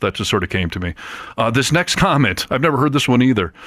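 Talking at a very fast pace, a man sounds animated, with lively intonation. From US Midwest. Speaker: podcast host. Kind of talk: casual chat.

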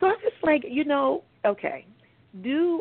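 Using a normal speaking voice, a woman with an American accent talks at a fairly slow pace with lively intonation. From US South (Birmingham, Alabama). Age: 40s. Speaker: author. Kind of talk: radio interview.

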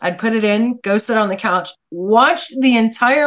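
This woman's pitch is fairly high for a woman and varies in an ordinary way. She has an unremarkable speaking voice. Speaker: artist. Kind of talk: casual chat.

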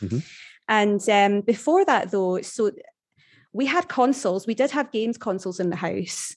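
A Glaswegian accent against a quiet background. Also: woman. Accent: Glaswegian Scottish. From Scotland, Glasgow area. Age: 30s. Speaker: human resources professional. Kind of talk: casual interview chat.

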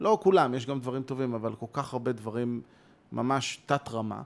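A man at medium pitch and a moderate pace. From Israel, Ramat Gan. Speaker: composer and conductor. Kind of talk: conversation. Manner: animated.

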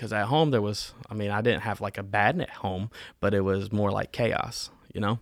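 An ordinary speaking voice, a man with an American accent talks at a moderate pace and fairly low pitch with fairly even intonation on a very clean recording with a silent background. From North Carolina (Winston-Salem), US South. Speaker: church member. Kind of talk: interview testimony.

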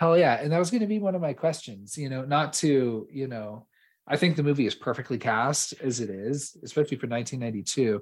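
This is a plain, everyday voice from a man at medium pitch. His intonation is lively. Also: fairly quick pace. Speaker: podcast host. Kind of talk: casual chat. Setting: remote recording.

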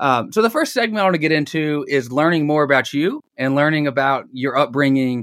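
With a Southern US accent, a man talks fairly high and fairly quickly with lively intonation. The recording is very clean, with a silent background. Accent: Southern American. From US South (Dalton, Georgia). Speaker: podcast host. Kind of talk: interview conversation.

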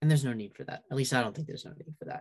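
This man has a fairly high pitch and an American accent. His pitch varies in an ordinary way. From downstate New York. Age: 20s. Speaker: student organizer. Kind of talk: interview.

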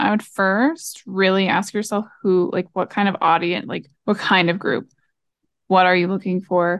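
At a moderate pace, a woman with a plain, everyday voice talks at a medium pitch with ordinary pitch variation. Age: 20s. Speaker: marketer and podcast co-host. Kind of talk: casual chat.

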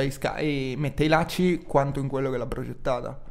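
A man talks at a fairly high pitch. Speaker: podcast co-host. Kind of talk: casual banter podcast chat.

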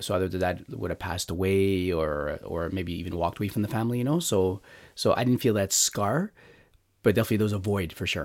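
On a very clean recording with a silent background, a man speaks very fast in a fairly low voice with ordinary pitch variation. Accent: Montreal. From Montreal, Canada. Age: 40s. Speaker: lay evangelist. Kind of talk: personal testimony interview. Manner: halting, many fillers and restarts.

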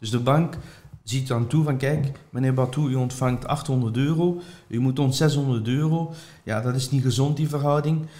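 A man speaks at a fairly slow pace and a medium pitch, his tone dark and mellow. His voice is somewhat breathy, with fairly even intonation. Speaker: property investor and trainer. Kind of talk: interview.

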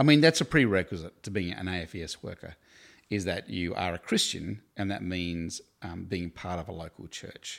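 A man with an Australian accent, very deep and low in pitch, at a fairly slow pace. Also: very clean recording, silent background. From Tasmania, Australia (Hobart). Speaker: campus ministry staff worker. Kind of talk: interview.

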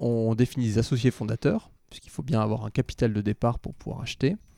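Very fast and with big swings in loudness, a man speaks at a medium pitch in a dark, mellow tone, the sound dry and close with no echo. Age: 30s. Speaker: real estate investment director. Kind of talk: interview.

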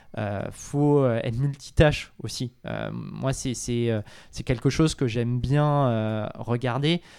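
Recorded very cleanly against a silent background, a man with a medium-pitched voice talks at a very slow pace. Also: ordinary pitch variation. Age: 30s. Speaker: real estate fund manager. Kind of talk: interview.

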